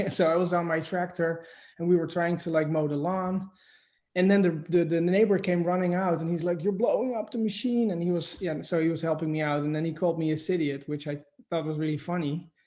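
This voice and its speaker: Against a quiet background, a man with a Dutch accent talks fairly quickly in a high, dark, mellow tone with fairly even intonation. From Netherlands. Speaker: shop owner. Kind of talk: interview. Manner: halting.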